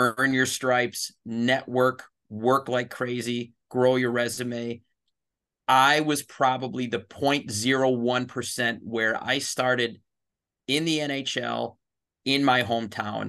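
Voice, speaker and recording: At a very slow pace, a man with a medium pitch speaks in a bright, sharp tone with monotone, flat intonation. The background is quiet. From US Midwest, Chicago. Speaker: hockey league executive. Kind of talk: interview.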